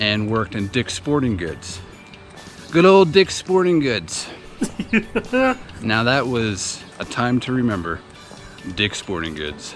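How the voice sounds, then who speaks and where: Fairly slow speech from a man, with faint music in the background and dry sound with no echo. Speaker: reseller vlogger. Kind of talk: casual vlog chat. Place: street. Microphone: phone near.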